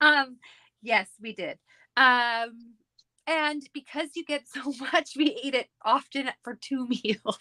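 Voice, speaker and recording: A woman with a Canadian accent speaks very slowly in a high, raised, projected voice with a bright, sharp tone and ordinary pitch variation. Her loudness swings widely, and the sound is dry and close with no echo. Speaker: scrapbooking crafter. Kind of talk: casual chat.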